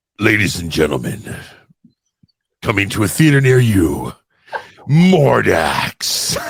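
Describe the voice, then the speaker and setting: A man's put-on character voice, fairly low in pitch with very wide pitch swings, at a fairly slow pace with long, frequent pauses. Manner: dramatic, announcing.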